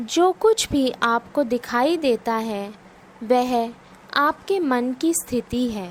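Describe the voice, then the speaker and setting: With long, frequent pauses, a woman speaks in a high voice with ordinary pitch variation. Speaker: guided meditation / yoga nidra instructor. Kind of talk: guided meditation narration. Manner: slow, calm, soothing.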